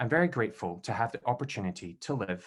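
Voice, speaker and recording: A man with a Scottish accent and a medium pitch talks at a fairly quick pace on a very clean recording with a silent background. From Scotland, Glasgow. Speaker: event host, PhD candidate. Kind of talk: formal event introduction. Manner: formal.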